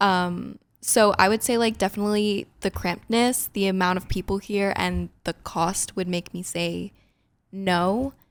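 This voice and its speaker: A woman with a New Jersey accent talks at a fairly slow pace, with medium pitch and fairly even intonation, in a very clean recording with a silent background. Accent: New Jersey American. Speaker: podcast co-host. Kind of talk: casual chat.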